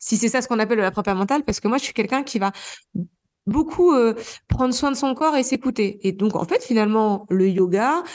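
With an unremarkable speaking voice, a woman talks at a fairly quick pace using lively intonation. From Normandy, France. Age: 30s. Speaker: trail runner and gynecologist. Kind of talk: interview.

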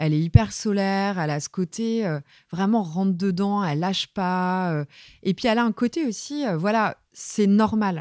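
Her pitch is medium with ordinary variation as a woman speaks at a fairly slow pace, in a very clean recording with a silent background and a dry, close sound with no echo. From Brittany, France (Saint-Brieuc). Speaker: music journalist, magazine editor. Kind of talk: interview. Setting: office. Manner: assertive.

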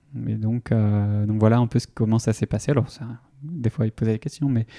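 A man talks at a moderate pace with a medium pitch and a dark, mellow tone. The sound is dry and close, with no echo. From Brittany (Vitré, Ille-et-Vilaine). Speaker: startup founder. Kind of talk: interview. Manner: halting, many fillers and repetitions.

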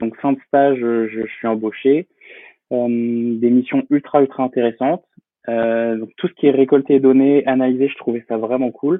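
Speaking fairly slowly, the man keeps a medium pitch and fairly even intonation. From France, Poitiers (Vienne). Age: 20s. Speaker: freelance photographer and entrepreneur. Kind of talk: podcast interview. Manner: hesitant, many fillers.

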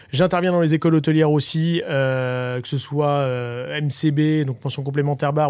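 A man's fairly high-pitched voice carries fairly even intonation. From Brittany, Guérande. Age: 40s. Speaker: bartender and bar owner. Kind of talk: interview. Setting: in a bar.

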